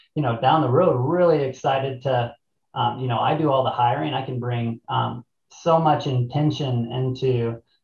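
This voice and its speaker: Against a quiet background with audible room echo, a medium-pitched man with an American accent speaks at a moderate pace and fairly even intonation. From US Midwest, southern Illinois. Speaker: rafting company co-owner and army veteran; guest. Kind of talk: panel discussion. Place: office. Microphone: webcam.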